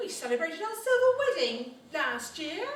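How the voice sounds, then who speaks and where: A woman does a squeaky, put-on character voice at an extremely high pitch with very wide pitch swings and a moderate pace, with slight echo and light background noise. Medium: stage play. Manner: polite, hesitant, giggly.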